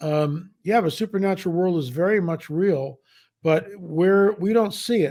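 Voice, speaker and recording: A man speaks with a dark, mellow tone and a high pitch. His pace is fairly slow, with ordinary pitch variation. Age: 70s. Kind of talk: interview.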